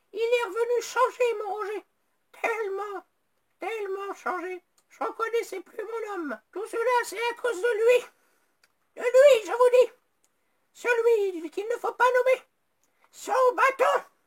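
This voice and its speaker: Putting on a squeaky character voice at an extremely high pitch, a woman talks at a fairly slow pace with long, frequent pauses and big swings in loudness. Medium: comedy sketch. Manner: plaintive, complaining.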